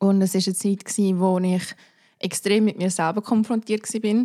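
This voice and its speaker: A woman talks at a fairly slow pace with a dark, mellow tone and fairly even intonation. The recording is very clean and dry, close with no echo and a silent background. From Zurich, Switzerland (Seebach). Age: 20s. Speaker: podcast guest. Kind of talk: casual chat.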